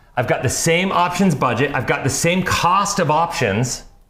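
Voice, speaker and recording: A man speaks in an animated tone with ordinary pitch variation. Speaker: financial advisor and channel host. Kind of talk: casual chat. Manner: fast.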